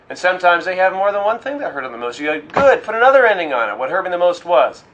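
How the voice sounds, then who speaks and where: Very fast speech from a man, high-pitched with very wide pitch swings, over noticeable background noise. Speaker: hypnotherapy trainer. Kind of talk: instructional discussion. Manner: serious.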